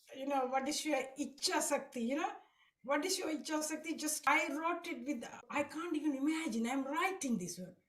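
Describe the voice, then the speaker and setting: The speech moves at a moderate pace with ordinary pitch variation. Audible room echo surrounds it. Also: woman, high pitch for a woman. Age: 60s. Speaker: devotee sharing experience. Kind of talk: testimony. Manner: halting.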